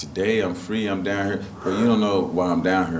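A man's very deep, low voice with fairly even intonation, against noticeable background noise. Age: 40s. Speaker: church attendee. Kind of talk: testimony. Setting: stage with audience. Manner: halting.

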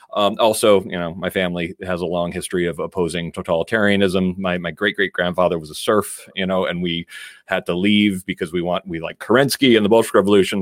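With an American accent, a man with a very deep, low pitch talks at a very fast pace. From Connecticut, US. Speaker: First Amendment lawyer. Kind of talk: interview conversation. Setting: video call.

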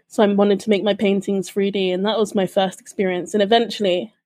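A woman talks at a very fast pace with a British accent. Her tone is dark and mellow, on a very clean recording with a silent background. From UK. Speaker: podcast co-host, church community member. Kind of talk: casual podcast chat.

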